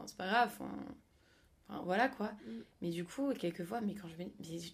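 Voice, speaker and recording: A woman speaks at medium pitch, somewhat breathy, with ordinary pitch variation. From France, Paris. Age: young. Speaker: student. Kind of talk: casual chat.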